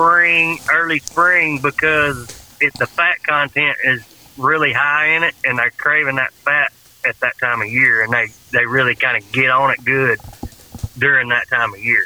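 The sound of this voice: A man with a Southern accent and a fairly high pitch, at a fairly slow pace with ordinary pitch variation, in a dry, close sound with no echo and noticeable background noise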